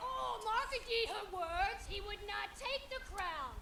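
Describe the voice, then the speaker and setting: In a put-on character voice with an extremely high pitch, the speaker goes at a fairly slow pace, with slight echo and loud background noise. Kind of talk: Shakespearean stage verse. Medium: stage play. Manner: excitable.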